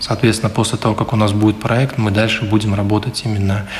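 A man's fairly low, monotone voice with flat intonation, at a fairly quick pace over noticeable background noise. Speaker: city councillor. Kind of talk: radio interview statements.

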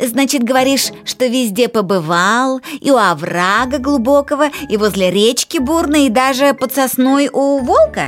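A put-on character voice, female-sounding and high-pitched, drawls at a moderate pace in a raised, projected delivery. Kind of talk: storytelling. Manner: drawling, slow.

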